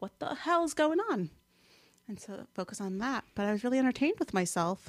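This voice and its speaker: A woman with a slight New Jersey accent talks at a fairly quick pace, and the sound is dry and close with no echo. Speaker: guest, social media weight-loss blogger. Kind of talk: casual chat.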